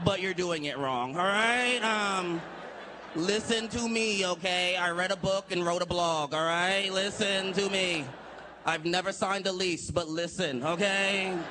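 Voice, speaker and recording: Against noticeable background noise, a man with a high pitch uses a raised, projected voice at a fairly slow pace with ordinary pitch variation. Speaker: stand-up comedian. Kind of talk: live stand-up comedy set. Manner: profane, exasperated.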